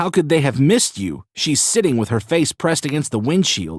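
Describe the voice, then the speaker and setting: A man in a growling, put-on character voice, with fairly high pitch, very wide pitch swings and a fairly quick pace. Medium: read story. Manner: blunt, skeptical.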